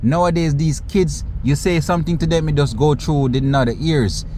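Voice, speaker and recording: Audible room echo surrounds a man with a fairly high pitch. His tone is animated and his intonation lively. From Caribbean. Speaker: commentary youtuber. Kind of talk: casual commentary vlog.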